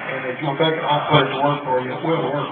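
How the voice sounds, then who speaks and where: A man with an American accent and a fairly high pitch talks in a monotone, flat intonation, with noticeable background noise behind him. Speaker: auctioneer. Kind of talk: auction introduction speech, casual talk to a live audience. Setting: live sale venue, PA system.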